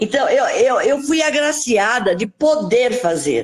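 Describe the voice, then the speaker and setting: A woman is speaking. Her pitch is high. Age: 70s. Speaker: lawyer. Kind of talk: casual chat. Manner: halting.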